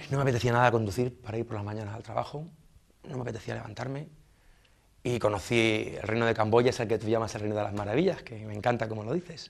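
The speech comes at a very fast pace, with big swings in loudness. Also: man, ordinary pitch variation. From southern Spain, Almería; southern Spain. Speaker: expatriate interviewee; interviewee. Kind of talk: interview. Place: studio.

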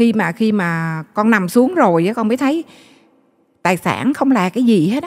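In a quiet background, a woman speaks at a fairly slow pace. Her intonation is lively. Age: 40s. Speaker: guest sharing faith story; guest. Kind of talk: testimony. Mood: emotional, regretful recollection. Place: studio. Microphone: handheld.

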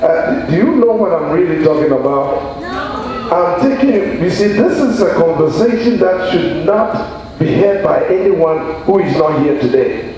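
A man speaks at a fairly slow pace with lively intonation and a fairly high pitch. Audible room echo surrounds his voice.

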